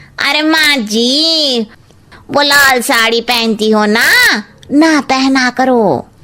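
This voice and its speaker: A woman puts on a cartoonish character voice, high in pitch with ordinary variation. She speaks at a very slow pace with very even loudness. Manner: cheeky, blunt.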